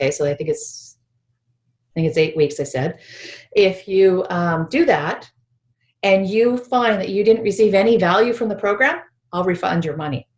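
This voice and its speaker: In a Canadian accent, the somewhat breathy voice has lively intonation, a moderate pace, and long, frequent pauses. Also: woman, medium pitch for a woman. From British Columbia, Canada. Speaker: spiritual healing teacher. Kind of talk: online workshop presentation.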